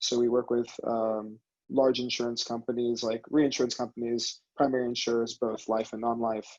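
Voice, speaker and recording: With an American accent, a man speaks at a medium pitch in a dry, close sound with no echo. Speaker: venture capital director. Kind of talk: panel discussion.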